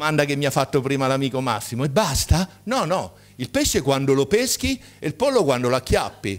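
At a moderate pace with hardly any pauses, a man speaks with a fairly high pitch, an animated tone and lively intonation. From Marche, Italy (Ascoli Piceno); Marche, Italy. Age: 60s. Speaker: medical doctor, conference speaker; conference speaker. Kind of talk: conference talk. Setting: stage with audience. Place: hall. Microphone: podium.

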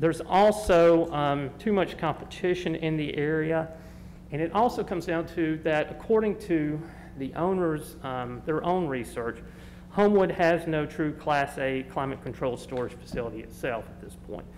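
A normal speaking voice with ordinary pitch variation. Light background noise can be heard. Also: man, fairly high pitch for a man, moderate pace. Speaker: applicant's representative. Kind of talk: formal presentation. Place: hall. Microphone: podium.

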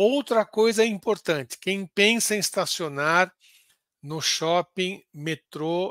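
A man speaks at a very slow pace, his voice high-pitched for a man, with lively intonation. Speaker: football podcast host. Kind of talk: casual football talk livestream; reading club instructions aloud. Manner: halting.

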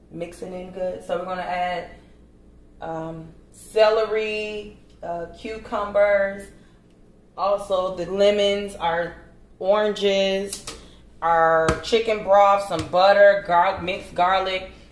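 A woman speaks very slowly in a monotone, flat intonation, with long, frequent pauses. There is audible room echo. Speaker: home cook host. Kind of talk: cooking tutorial. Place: kitchen. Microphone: camera far.

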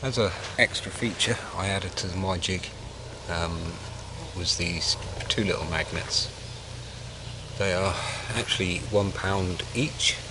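A man's very deep, low voice at a fairly slow pace, with long, frequent pauses, a dry sound with no echo, and noticeable background noise. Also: ordinary pitch variation. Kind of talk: tutorial. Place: forest. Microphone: camera far.

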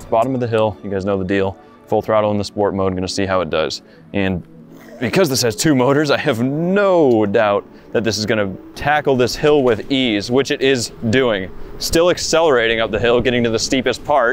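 A man talks at a moderate pace in a dry room with no echo. Faint music plays in the background. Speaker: product reviewer. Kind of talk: review commentary while riding. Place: street. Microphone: phone near.

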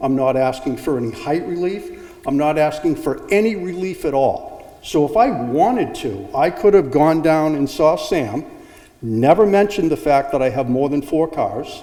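A man speaks at a moderate pace. Audible room echo can be heard. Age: 60s. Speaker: zoning applicant, homeowner. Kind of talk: public hearing testimony. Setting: town hall public meeting.

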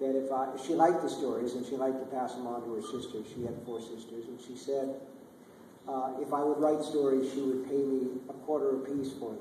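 A man talks at a fairly quick pace with fairly even intonation. Audible room echo and light background noise are present. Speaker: guest. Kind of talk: Q&A answer. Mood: relaxed, anecdotal, some laughs. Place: hall.

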